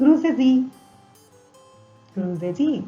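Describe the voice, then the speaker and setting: In a German accent, a woman speaks with fairly high pitch and very wide pitch swings. Music plays in the background. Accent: non-native German pronunciation. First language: not German. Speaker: German language teacher. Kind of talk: language lesson narration.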